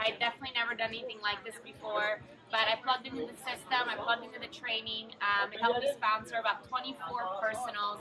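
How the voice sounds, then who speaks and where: The speech comes at a very fast pace with hardly any pauses and big swings in loudness. Intonation stays monotone and flat against noticeable background noise. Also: woman, fairly high pitch for a woman. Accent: Italian. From Italy. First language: Italian. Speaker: network marketer. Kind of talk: testimony.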